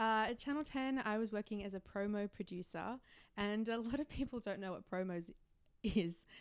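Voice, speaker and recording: With an Australian accent, a woman talks at a moderate pace in a fairly high pitch, her pitch varying in an ordinary way over a very clean recording with a silent background. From Australia, Melbourne. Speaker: YouTuber and film reviewer. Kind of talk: casual chat. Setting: hotel room.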